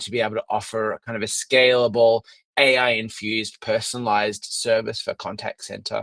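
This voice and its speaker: A man talks at a fairly quick pace. The sound is dry and close with no echo. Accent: Australian. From Australia. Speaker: product lead presenting a software product. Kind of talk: webinar presentation. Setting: office, online webinar.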